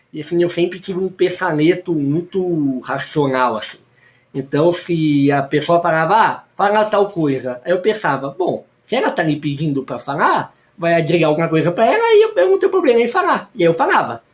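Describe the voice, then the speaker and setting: Full of lively intonation, a man speaks in a high pitch. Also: moderate pace. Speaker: youtuber and teacher. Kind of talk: personal vlog testimony.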